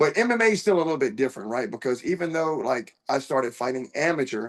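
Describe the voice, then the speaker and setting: Talking at a very fast pace with an American accent, a man uses a fairly high pitch and very wide pitch swings. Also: quiet background. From US, small town. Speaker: professional MMA fighter. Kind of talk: interview.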